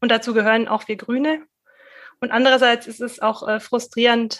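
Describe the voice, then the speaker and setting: Her intonation is monotone and flat. The woman's voice sits fairly high in pitch. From Middle Franconia, Germany (rural). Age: 30s. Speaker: local party chair. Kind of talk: interview. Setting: video call. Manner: halting.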